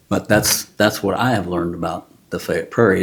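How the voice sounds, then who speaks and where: At a moderate pace, a man speaks in a Texan accent. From Texas, Houston area. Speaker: retired contractor and landowner. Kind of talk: interview. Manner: easygoing, conversational.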